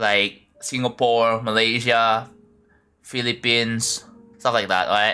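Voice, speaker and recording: Music plays behind a man speaking with an Indonesian accent. He talks at a very slow pace in a flat, monotone intonation. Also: medium pitch for a man. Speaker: game streamer. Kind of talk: live game-building stream chat. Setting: live stream. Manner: casual, halting with repetitions.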